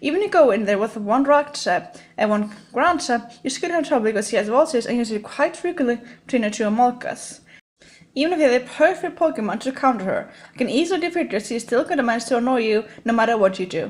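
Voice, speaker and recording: Very fast and high-pitched, a woman talks with lively intonation. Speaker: gaming YouTuber. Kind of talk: scripted top 10 commentary. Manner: stiff, robotic delivery.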